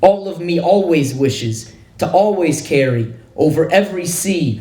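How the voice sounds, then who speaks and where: Noticeable background noise accompanies a man speaking fairly slowly at a fairly high pitch. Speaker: poet. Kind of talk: poetry reading.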